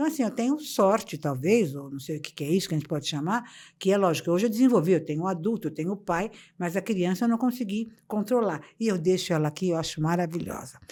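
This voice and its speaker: Over a very clean recording with a silent background, a woman speaks very fast in a dark, mellow tone. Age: 70s. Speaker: motivational speaker. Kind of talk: interview conversation. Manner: animated.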